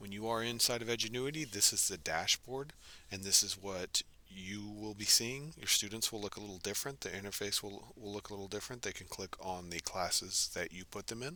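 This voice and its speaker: His voice sits at a fairly low pitch with a bright, sharp tone, ordinary pitch variation and big swings in loudness. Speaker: instructional technology trainer for teachers. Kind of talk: screen-recorded software tutorial. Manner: fast; casual, with fillers.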